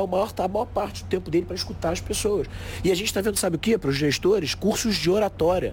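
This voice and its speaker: Amid noticeable background noise, a high-pitched man speaks at a very fast pace with ordinary pitch variation. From Brazil, Lebanese family. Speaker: keynote speaker and author. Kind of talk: casual interview. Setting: recorded at a conference.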